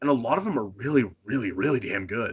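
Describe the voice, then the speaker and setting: The voice carries an American accent. It races along at a very fast pace. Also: man. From Northern Maine, US. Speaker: professional wrestler. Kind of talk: casual interview. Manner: halting, frequent false starts.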